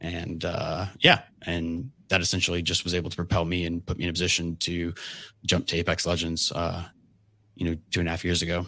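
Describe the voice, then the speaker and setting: A man with an American accent speaks fairly quickly in a very deep, low pitch. His tone is bright and sharp, and his intonation stays flat and monotone. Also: very clean recording, silent background. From US South, Georgia. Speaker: game developer. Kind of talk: interview.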